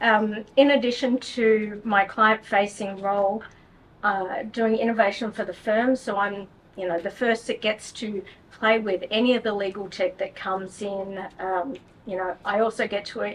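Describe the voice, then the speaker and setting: Speaking with an Australian accent, a woman has a fairly high pitch. She keeps a moderate pace and fairly even intonation. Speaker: technology lawyer. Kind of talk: panel discussion.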